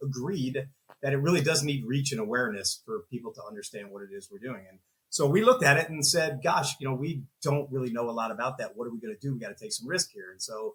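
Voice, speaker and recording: Talking at a very fast pace, a man with a fairly high pitch sounds somewhat breathy. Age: 50s. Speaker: business owner and entrepreneur. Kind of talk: interview. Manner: conversational.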